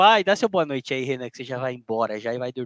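Recorded with a dry, close sound and no echo, a man speaks. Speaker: football podcast host. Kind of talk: casual chat.

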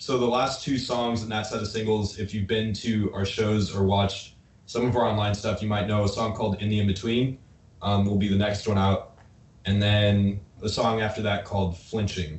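In an American accent, a man talks with fairly low pitch, a monotone, flat intonation and a somewhat breathy sound. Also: moderate pace. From Nebraska. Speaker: rock band member. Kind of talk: casual chat. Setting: video call.

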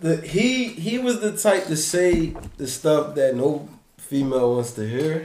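The voice moves at a fairly slow pace with very wide pitch swings. Both background noise and room echo are noticeable. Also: man, fairly high pitch for a man. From Philadelphia. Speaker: podcast host. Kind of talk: casual chat.

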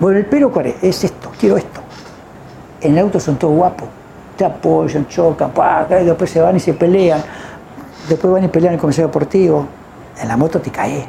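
Noticeable background noise, a moderate pace, and long, frequent pauses. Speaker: retired racing driver. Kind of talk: interview storytelling. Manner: animated.

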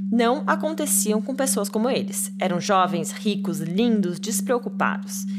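A woman's fairly slow, monotone, flat delivery, with audible room echo and music in the background. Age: 30s. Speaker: podcast host. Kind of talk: true crime storytelling.

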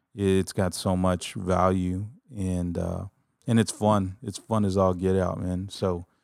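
A man talks slowly at a low pitch with vocal fry, a slightly mellow tone and little pitch movement. The recording is very clean with a silent background.

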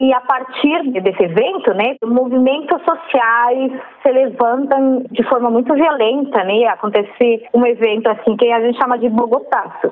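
The speech moves at a fairly slow pace with very even loudness. Noticeable background noise runs underneath. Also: woman, high pitch for a woman, ordinary pitch variation, hardly any pauses. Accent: Spanish. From Colombia. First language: Spanish (speaking Portuguese). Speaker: PhD researcher. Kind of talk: interview. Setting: phone call.

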